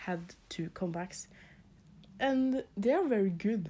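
With a Norwegian accent, a woman speaks at a very slow pace using lively intonation. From Norway. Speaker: podcast host and K-pop fan. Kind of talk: casual chat. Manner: halting, hesitant with fillers.

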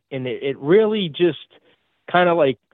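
A man with a strong Boston accent, lively intonation and a fairly slow pace, in a dry, close sound with no echo. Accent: heavy Boston.

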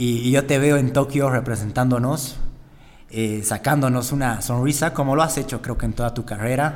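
A man with a plain, everyday voice talks at a moderate pace, his medium pitch held in fairly even intonation. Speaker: podcast host, gym owner. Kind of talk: casual interview.

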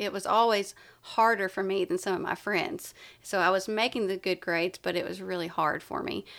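On a very clean recording with a silent background, a woman with an Appalachian accent speaks at a medium pitch and a moderate pace, with fairly even intonation. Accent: Southern US (Appalachian). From East Tennessee. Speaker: wellness coach and yoga instructor. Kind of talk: casual interview.

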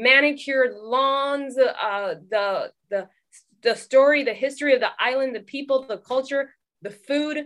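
With a West Coast accent, a woman talks at a fairly slow pace in a high pitch, her pitch varying in an ordinary way. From California (Oxnard), Trinidadian parents. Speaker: documentary filmmaker. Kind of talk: casual interview.

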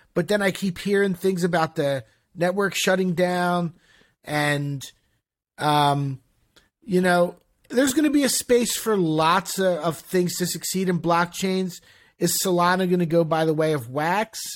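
In an American accent, a man talks at a fairly slow pace with a high pitch, ordinary pitch variation and very even loudness, on a very clean recording with a silent background. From Philadelphia. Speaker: podcast co-host and former ticket broker. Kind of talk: casual interview.

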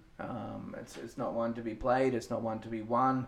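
With audible room echo and noticeable background noise, a man speaks at a moderate pace in a monotone, flat delivery. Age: 30s. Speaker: fitness coach and podcast co-host. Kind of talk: casual chat.

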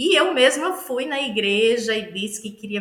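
A woman speaks in a northeastern Brazilian accent. There is noticeable background noise and audible room echo. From Northeast Brazil, Aracaju, Sergipe. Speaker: pastor and theologian. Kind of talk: interview conversation.

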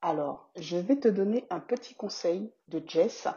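A somewhat breathy woman's voice at medium pitch, very slow in pace, with very wide pitch swings. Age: 30s. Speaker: podcast host and business coach. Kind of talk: casual podcast monologue.

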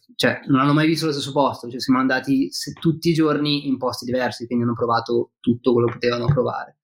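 A medium-pitched man talks very fast with fairly even intonation. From Milan, northern Italy. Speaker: fishing guest, fly and spinning angler. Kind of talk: casual chat.

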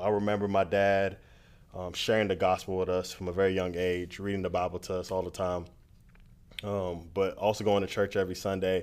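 Over a very clean recording with a silent background, a man with an American accent speaks at a moderate pace in a very deep, low pitch with monotone, flat intonation. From Miami, Florida (Nigerian household). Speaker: student pastor. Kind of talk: interview testimony. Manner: hesitant with frequent ums.

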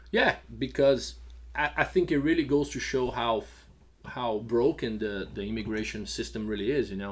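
With a slight Brazilian accent and some vocal fry, a man talks at a moderate pace with ordinary pitch variation, recorded very cleanly against a silent background. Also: medium pitch for a man. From Brazil (São Paulo). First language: Portuguese. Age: 40s. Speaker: restaurant and bar owner. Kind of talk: casual interview.

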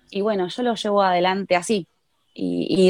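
A normal speaking voice shows ordinary pitch variation. The sound is dry and close, with no echo. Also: woman. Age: 20s. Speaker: footballer. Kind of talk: interview.

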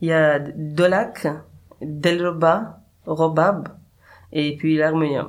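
With an Afghan accent, a man speaks at a very slow pace and fairly high pitch, with fairly even intonation and long, frequent pauses. There is audible room echo. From Afghanistan. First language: Dari (speaking French). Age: 30s. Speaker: musician. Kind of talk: interview. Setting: studio. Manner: halting.

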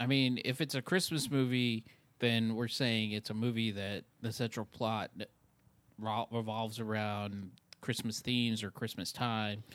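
On a very clean recording with a silent background, a man talks at a moderate pace in an unremarkable speaking voice with fairly even intonation. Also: medium pitch for a man. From New York. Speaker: podcast co-host. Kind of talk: casual chat.

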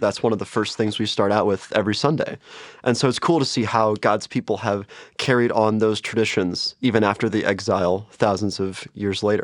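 A man speaks in an ordinary speaking voice, fairly low in pitch, at a fairly quick pace. His loudness stays very even and his intonation fairly even, against a quiet background. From US Midwest, St. Louis, Missouri. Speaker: vicar, seminary student. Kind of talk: casual Bible study discussion.

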